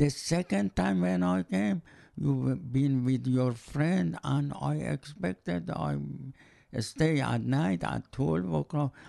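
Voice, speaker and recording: Very slow and very deep, a man's dark, mellow voice moves through very wide pitch swings. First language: non-English. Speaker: host's father. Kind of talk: casual chat.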